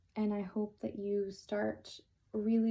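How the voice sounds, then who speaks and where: A woman speaks at a fairly high pitch in a monotone, flat way. Her voice is somewhat breathy, with a dark, mellow tone. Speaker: tarot reader. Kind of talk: tarot reading. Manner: slow.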